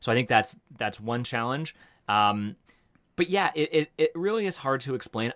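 In a very clean recording with a silent background, a man with a Canadian accent and an unremarkable speaking voice talks at a moderate pace with lively intonation. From Canada, Toronto (Etobicoke). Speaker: media startup co-founder. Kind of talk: interview.

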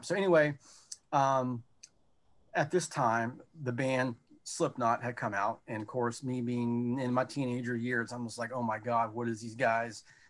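A man with an American accent has a plain, everyday voice at a medium pitch and moderate pace, in a very clean recording with a silent background. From North Carolina, US South. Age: 30s. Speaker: metal musician. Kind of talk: casual chat.

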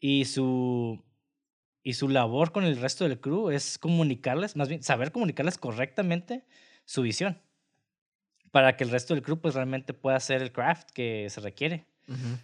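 A man with a Mexican accent, medium pitch and ordinary pitch variation at a moderate pace, dry and close with no echo. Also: quiet background. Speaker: film podcast host. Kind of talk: casual chat; reading notes aloud.

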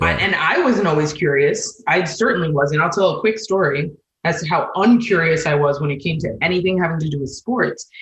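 A woman with an ordinary speaking voice, fairly low in pitch, talks at a fairly quick clip with lively intonation and hardly any pauses. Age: 40s. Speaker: communications director at a beverage brand. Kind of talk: interview.

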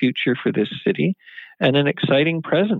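A man with a Canadian accent has an ordinary speaking voice. His pitch is fairly high, with ordinary variation. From Vancouver Island, British Columbia, Canada. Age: 60s. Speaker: mayor. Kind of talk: interview.

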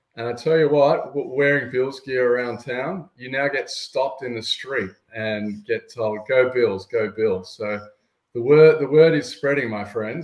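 Speaking with an Australian accent, a man keeps a medium pitch and a fairly slow pace, with ordinary pitch variation. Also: big swings in loudness. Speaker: sports fan guest. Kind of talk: casual interview chat.

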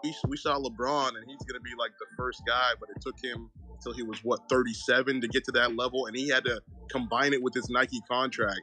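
A man's medium-pitched, monotone voice at a fairly quick pace, with big swings in loudness and music in the background. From San Francisco Bay Area. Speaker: caller, Warriors fan. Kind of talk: casual sports talk. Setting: live online audio chat.

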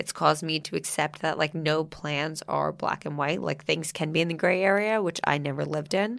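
A woman with a very deep, low pitch and vocal fry speaks at a fairly quick pace with fairly even intonation. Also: hardly any pauses. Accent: American. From New Jersey. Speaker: podcast host and food influencer. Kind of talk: casual interview chat.

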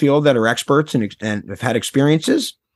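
At a moderate pace and with ordinary pitch variation, the voice comes through dry and close with no echo over a quiet background. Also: man. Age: 30s. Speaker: documentary filmmaker. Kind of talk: casual interview. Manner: animated.

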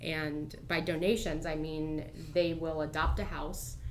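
The speaker has an American accent. Audible room echo is present. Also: woman. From US Midwest (Cincinnati area, Ohio). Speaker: community volunteer. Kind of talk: casual interview.

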